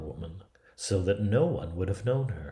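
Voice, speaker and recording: A man speaks at a fairly slow pace with a fairly low pitch. His is an unremarkable speaking voice with lively intonation. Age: 50s. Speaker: theatre artist. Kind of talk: read fairy tale.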